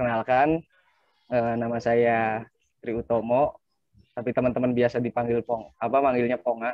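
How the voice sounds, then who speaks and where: A man speaks at a medium pitch with monotone, flat intonation. The sound is dry with no echo, and the background is quiet. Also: moderate pace. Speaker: coffee shop collective member. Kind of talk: casual online discussion. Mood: relaxed, joking. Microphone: choppy connection; video call.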